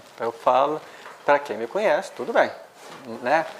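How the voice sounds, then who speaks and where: The intonation is lively. Noticeable background noise is audible. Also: woman. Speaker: spiritist lecturer. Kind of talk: lecture. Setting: spiritist centre, livestreamed. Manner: halting.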